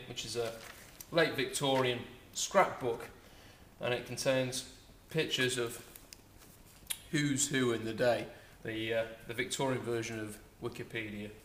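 A man with a medium pitch speaks at a moderate pace with fairly even intonation and long, frequent pauses. Audible room echo and light background noise surround him. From North Yorkshire. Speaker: auctioneer. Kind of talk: casual promotional talk to camera. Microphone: camera far.

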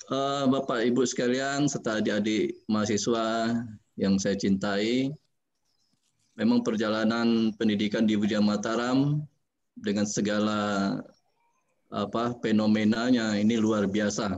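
At a fairly slow pace, a man speaks with fairly even intonation and very even loudness over light background noise. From Jambi, Sumatra, Indonesia; Indonesia. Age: 40s. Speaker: government architect; webinar speaker. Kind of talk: webinar talk. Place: office. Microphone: video call.

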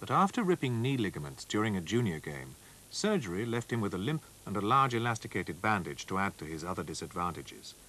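A man's dramatic, very fast delivery with vocal fry, a bright, sharp tone, fairly low pitch, and very wide pitch swings. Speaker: documentary narrator. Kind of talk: scripted sports-history documentary narration, read solemn and measured. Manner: formal, steady, dramatic, even-paced delivery.

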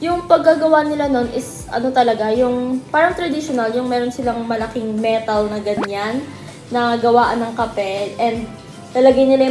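The voice moves at a moderate pace with ordinary pitch variation. Music plays in the background and the room echo is audible. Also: woman. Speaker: vlogger. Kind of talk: casual vlog chat. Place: home room. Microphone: phone near.

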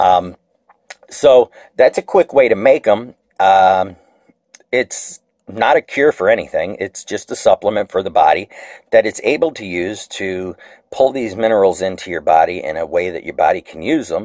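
A man speaks at a moderate pace with a fairly low pitch and big swings in loudness. The sound is dry with no echo, and the background is quiet. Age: 40s. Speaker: video blogger. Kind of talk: tutorial. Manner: halting, many fillers. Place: kitchen. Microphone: phone near.

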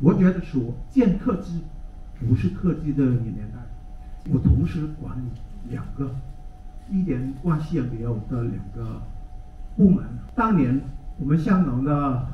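A man at a fairly slow pace with lively intonation and long, frequent pauses, plus audible room echo and light background noise. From Hong Kong. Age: 60s. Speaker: technology teacher. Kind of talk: conference talk; lecture. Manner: hesitant with fillers. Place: hall.

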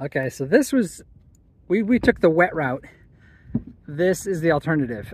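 At a moderate pace, the voice comes through dry with no echo and light background noise. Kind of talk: casual vlog chat. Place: beach. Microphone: phone near.

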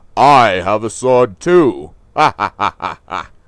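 A man talks at a fairly slow pace. His pitch is medium. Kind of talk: comic overacting. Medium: comedy sketch. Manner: menacing, gloating.

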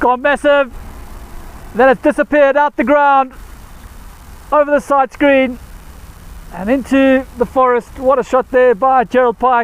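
A man speaks at a fairly slow pace with long, frequent pauses, his pitch extremely high, his intonation fairly even and his loudness very even, in a dry, close sound with no echo over noticeable background noise. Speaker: cricket commentator. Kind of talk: live cricket commentary.

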